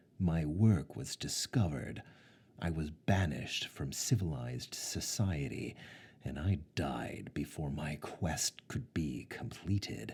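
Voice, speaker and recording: In a put-on character voice, a man speaks very deep and low, resonant, at a fairly slow pace. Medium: read story. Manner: pompous, menacing.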